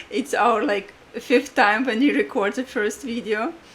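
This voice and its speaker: A woman speaks with a Latvian accent at a fairly slow pace, her fairly high pitch showing ordinary variation. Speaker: podcast co-host, astrologer and life coach. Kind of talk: casual podcast chat.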